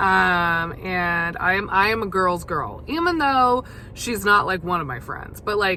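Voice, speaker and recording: A woman of medium pitch at a fairly slow pace, lively in intonation, with audible room echo. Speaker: podcast host. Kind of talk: casual monologue. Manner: hesitant, many fillers.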